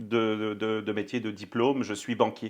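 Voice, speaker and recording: A man talks at a fairly slow pace. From France. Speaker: banking company executive. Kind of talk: podcast interview. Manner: hesitant, many fillers.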